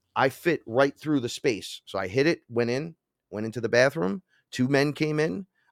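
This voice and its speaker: Heard dry and close with no echo, a man speaks at a moderate pace with lively intonation. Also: medium pitch for a man. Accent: New York. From New York, the Bronx. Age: 40s. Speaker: shaman and hip-hop musician. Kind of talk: storytelling interview.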